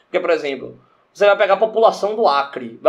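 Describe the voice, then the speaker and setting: Fairly quick and lively in intonation, a man talks with a high pitch. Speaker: podcast co-host. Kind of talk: casual chat.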